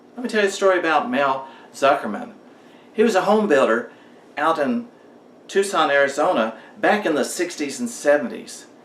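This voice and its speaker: Over noticeable background noise and audible room echo, a man's high voice swings very widely in pitch. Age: 60s. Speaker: motivational vlogger. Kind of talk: storytelling monologue.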